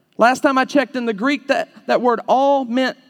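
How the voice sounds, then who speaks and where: A man talks with an Alabama accent at an extremely high pitch. His tone is animated. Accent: Southern US (Alabama). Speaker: preacher. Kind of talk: fiery evangelistic sermon to a live youth audience, confrontational and call-and-response. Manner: punchy, animated rhetorical delivery with jabbing short sentences; mocking sing-song voicing of the audience's objections.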